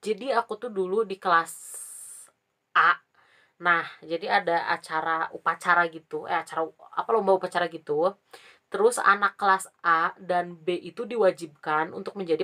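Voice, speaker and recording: Recorded with a dry, close sound and no echo, a woman with a fairly low pitch and a bright, sharp tone talks at a moderate pace with ordinary pitch variation. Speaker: vlogger. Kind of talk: casual storytelling vlog. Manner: casual, chatty.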